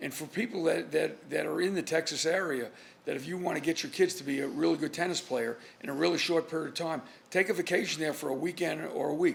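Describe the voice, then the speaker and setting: A man's fairly high voice with vocal fry, very fast in pace, with ordinary pitch variation. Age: 60s. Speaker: trial lawyer, podcast co-host. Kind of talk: casual chat.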